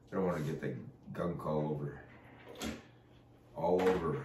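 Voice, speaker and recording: Noticeable background noise and audible room echo surround a man's voice. He speaks at a moderate pace with ordinary pitch variation. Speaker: pastor and barbecue cook. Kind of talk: casual cooking tutorial. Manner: casual with many fillers.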